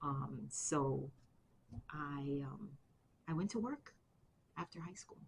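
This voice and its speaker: A woman in a New York accent, very deep and low with vocal fry, very slow with long, frequent pauses, big swings in loudness and ordinary pitch variation. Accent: New York City. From Bronx, New York City. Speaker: army veteran. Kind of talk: interview answer.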